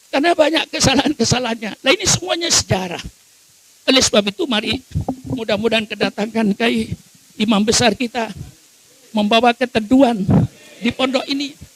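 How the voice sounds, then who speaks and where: Against noticeable background noise, a man with an extremely high pitch talks at a fairly quick pace with long, frequent pauses, the sound dry and close with no echo. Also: ordinary pitch variation. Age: 80s+. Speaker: Islamic cleric. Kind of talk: sermon. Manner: emphatic, forceful.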